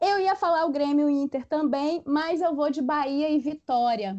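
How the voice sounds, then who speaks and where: Against a quiet background, a woman with a high pitch and a dark, mellow tone speaks at a fairly slow pace, the sound dry and close with no echo. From Espírito Santo, Brazil. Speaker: history teacher. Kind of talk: casual chat.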